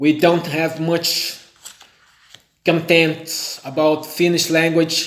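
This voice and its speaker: A man with a Brazilian accent, high-pitched, at a very slow pace. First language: Portuguese. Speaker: language learner. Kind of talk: vlog monologue. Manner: halting, self-correcting.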